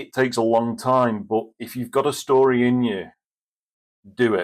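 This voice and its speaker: A man speaks at a moderate pace with a medium pitch. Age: 40s. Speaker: author. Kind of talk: interview. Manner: monotone.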